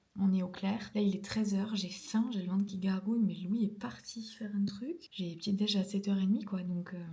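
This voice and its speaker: A woman speaks at medium pitch with fairly even intonation and hardly any pauses. Noticeable background noise runs underneath. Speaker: ceramics vlogger. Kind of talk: casual vlog diary. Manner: hesitant, many fillers.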